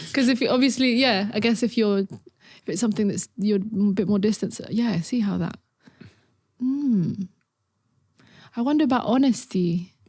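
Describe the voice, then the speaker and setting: A woman speaks at a moderate pace in a fairly high, somewhat breathy voice. Her speech has long, frequent pauses. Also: ordinary pitch variation. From Catalonia, Spain. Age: young. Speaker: music producer. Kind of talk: casual interview chat. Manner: halting, many restarts.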